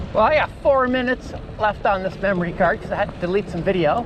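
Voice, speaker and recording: Noticeable background noise accompanies a woman whose pitch swings very widely. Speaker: cycling vlogger. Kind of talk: casual vlog narration while riding. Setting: outdoors on a bicycle.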